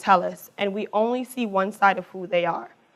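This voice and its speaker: A woman's medium-pitched voice with ordinary pitch variation, over a quiet background. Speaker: college alumna speaker. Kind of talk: public talk. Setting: stage with audience. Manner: fast.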